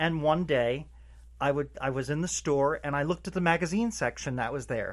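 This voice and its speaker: Male voice in a New Jersey accent, fairly high in pitch, at a moderate pace with ordinary pitch variation. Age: 60s. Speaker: retired postal worker. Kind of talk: interview. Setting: comic book shop.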